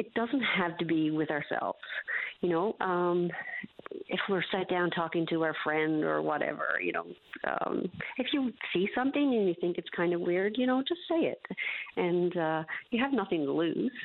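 A woman with an ordinary speaking voice at a fairly low pitch, with lively intonation, a moderate pace and very even loudness. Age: 50s. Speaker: melanoma survivor and awareness advocate. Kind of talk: radio interview.

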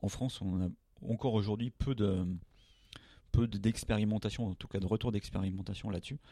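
A man speaks at a fairly quick pace in a fairly low, dark, mellow voice with fairly even intonation. Long, frequent pauses break up his speech. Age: 40s. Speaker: drone company founder. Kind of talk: interview. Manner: halting.

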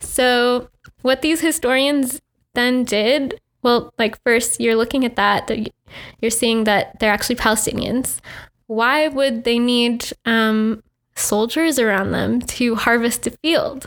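A woman with an American accent speaks at a very slow pace, her pitch high and her intonation fairly even. Her loudness stays very even, and the recording is very clean with a silent background. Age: 20s. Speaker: artist. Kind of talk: interview. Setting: studio. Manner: halting, many fillers.

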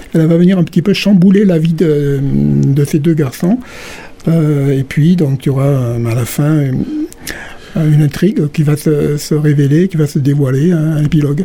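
The speaker goes at a fairly slow pace, with very even loudness and ordinary pitch variation. Background noise is noticeable. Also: man, fairly high pitch for a man. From southern France, Gard (Calvisson). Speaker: novelist. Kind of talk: radio interview. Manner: hesitant, many fillers.

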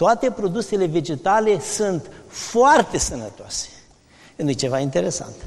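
Fairly slow speech with very wide pitch swings amid noticeable background noise. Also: man, high pitch for a man. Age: 60s. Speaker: medical doctor, vegetarian diet advocate. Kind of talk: interview in a sermon series.

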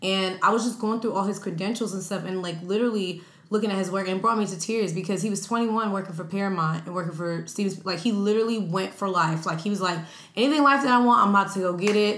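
Audible room echo surrounds a woman with an American accent. She speaks at a very fast pace and a medium pitch. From New York. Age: 20s. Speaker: social media influencer and podcast host. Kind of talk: casual chat. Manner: animated.

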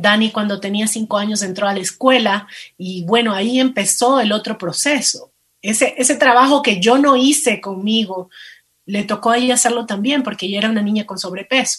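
Fairly quick and fairly high-pitched, a woman talks in an unremarkable speaking voice with ordinary pitch variation. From Ecuador, coast (Manabí). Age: 40s. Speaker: plus-size model and lingerie entrepreneur. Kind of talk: interview.

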